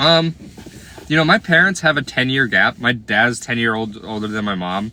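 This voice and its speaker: A man's plain, everyday voice, medium in pitch, with lively intonation at a moderate pace. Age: 20s. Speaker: live streamer. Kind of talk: casual chat with live chat viewers.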